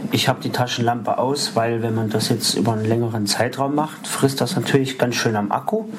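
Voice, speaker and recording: A man talks with hardly any pauses and fairly even intonation over noticeable background noise. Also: medium pitch for a man. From Saxony-Anhalt, Harz (Halberstadt). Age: 30s. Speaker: visually impaired tech reviewer. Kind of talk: tutorial.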